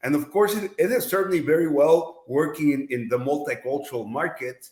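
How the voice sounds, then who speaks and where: A man with a Mexican accent speaks at a fairly quick pace. His pitch is fairly high and his intonation lively. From Mexico. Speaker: advertising executive. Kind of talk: podcast interview. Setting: studio. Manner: hesitant with repetitions.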